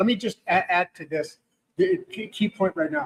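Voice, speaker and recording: Speaking at a moderate pace, a man uses ordinary pitch variation, and the sound is dry and close with no echo. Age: 60s. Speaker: podcast host. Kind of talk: casual interview chat.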